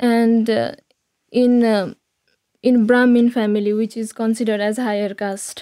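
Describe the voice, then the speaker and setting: A woman with a Nepalese accent speaks in a fairly high voice with a dark, mellow tone and monotone, flat intonation. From Nepal, Kathmandu area. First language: Nepali (speaking Slovak). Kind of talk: interview. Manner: halting.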